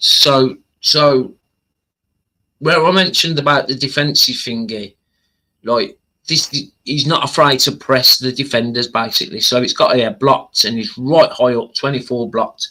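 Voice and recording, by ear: With a bright, sharp tone, a man speaks at medium pitch and a fairly slow pace, his pitch varying in an ordinary way.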